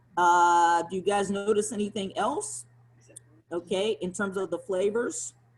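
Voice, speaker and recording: Animated in tone, a woman with a slight Southern US accent speaks at a medium pitch and a fairly slow pace. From US South. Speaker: sommelier. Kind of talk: guided wine tasting. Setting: video call.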